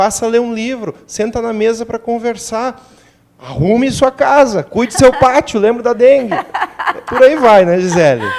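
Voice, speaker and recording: A man with a southern Brazilian accent and an extremely high pitch. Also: ordinary pitch variation. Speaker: doctor. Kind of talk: TV interview.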